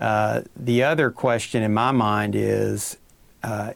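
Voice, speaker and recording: With an Appalachian accent, a man speaks at a fairly low pitch with fairly even intonation. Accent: eastern Kentucky Appalachian. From Pike County, eastern Kentucky. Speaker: fisheries biologist. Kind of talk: expert interview.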